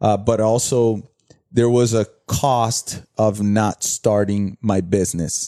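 A man with a Brazilian accent speaks very slowly at a fairly low pitch, his tone dark and mellow, his intonation fairly even and his loudness very even, in a dry, close sound with no echo. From Brazil, São Paulo. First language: Portuguese. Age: 30s. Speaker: entrepreneur and former soccer player. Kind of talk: casual interview. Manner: halting, many repetitions.

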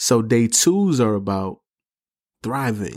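On a very clean recording with a silent background, a man with an American accent talks at a very slow pace, at medium pitch with ordinary pitch variation. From New York City, the Bronx. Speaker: podcast host. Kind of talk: motivational solo talk. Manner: casual, slangy.

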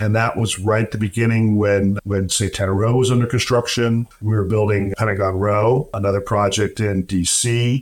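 A man with a normal speaking voice talks at a moderate pace in a fairly low pitch with fairly even intonation, in a very clean recording with a silent background. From US, military family, moved around. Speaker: real estate developer. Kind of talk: interview.

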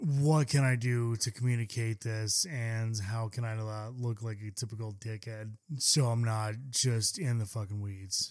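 A man talks at a fairly slow pace with medium pitch and fairly even intonation. He has an ordinary speaking voice. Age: 20s. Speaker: chef and podcast co-host. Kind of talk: casual chat.

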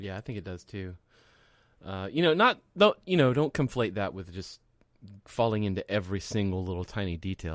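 Fairly quick and lively in intonation, a man speaks in an unremarkable speaking voice at a fairly low pitch. The recording is very clean with a silent background and a dry, close sound with no echo. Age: 40s. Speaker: web design podcast co-host. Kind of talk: casual chat. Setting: live podcast recording.

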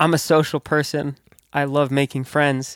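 Medium-pitched man at a moderate pace, monotone and flat, in a very clean recording with a silent background and a dry, close sound with no echo. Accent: American. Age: 20s. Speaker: podcast host and DJ. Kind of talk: casual chat.

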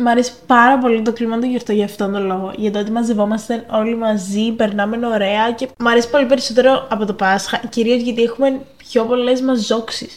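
A woman with a fairly high pitch talks at a fairly quick pace with hardly any pauses, her intonation monotone and flat. Noticeable background noise runs beneath her. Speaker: podcast co-host. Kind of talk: casual chat.

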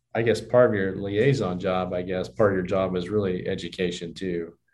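A man with an American accent, in audible room echo. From southwest Kansas (Johnson). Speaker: bank executive and podcast host. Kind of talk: interview conversation.

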